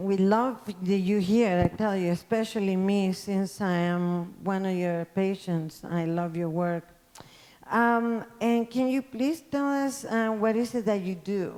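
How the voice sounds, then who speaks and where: Speaking fairly slowly in a non-native accent, a woman has a dark, mellow tone at a medium pitch. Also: ordinary pitch variation. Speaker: interviewer, beauty blogger. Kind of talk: interview.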